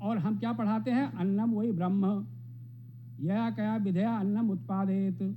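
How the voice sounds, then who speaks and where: The voice has a dark, mellow tone and very wide pitch swings at very even loudness, with audible echo from the room. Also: man, high pitch for a man. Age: 70s. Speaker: professor. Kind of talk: speech.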